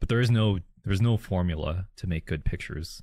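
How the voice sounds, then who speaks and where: A man speaks with a Canadian accent at a very deep, low pitch and a moderate pace, sounding somewhat breathy. The recording is very clean, with a silent background. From Calgary, Canada. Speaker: co-host, street photographer. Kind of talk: casual chat.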